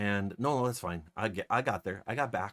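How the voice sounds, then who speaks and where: A man speaks quietly, mumbling his words. The recording is very clean, with a silent background. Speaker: streamer. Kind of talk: casual chat. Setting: live stream. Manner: quiet, mumbling.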